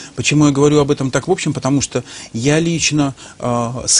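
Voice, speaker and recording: A man with fairly high pitch and ordinary pitch variation over noticeable background noise. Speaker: business trainer. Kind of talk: interview. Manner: hesitant with fillers.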